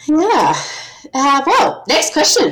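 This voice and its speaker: With an Australian accent and very wide pitch swings, a woman speaks at a fairly slow pace over noticeable background noise. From South Australia. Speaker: podcast host. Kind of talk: casual chat.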